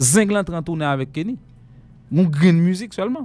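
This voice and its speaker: A man with a high voice and lively intonation talks at a moderate speed. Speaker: radio host. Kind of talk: live radio show.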